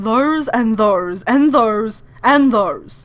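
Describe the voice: A female-sounding, put-on character voice is pitched fairly high.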